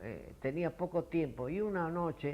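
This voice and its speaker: The man's tone is dark and mellow, his pitch fairly high with ordinary variation. He speaks at a fairly slow pace. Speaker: retired doctor. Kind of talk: interview. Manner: halting.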